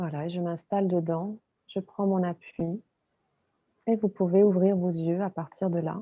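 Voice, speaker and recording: In a calm tone, a woman speaks at a fairly slow pace with medium pitch, monotone, flat intonation and long, frequent pauses. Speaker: body and movement coach. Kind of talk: interview. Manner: hesitant.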